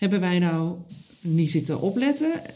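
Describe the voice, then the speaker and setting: A woman speaks with lively intonation amid noticeable background noise, and the room's echo is audible. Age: 40s. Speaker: podcast host. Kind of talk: interview; reflective monologue.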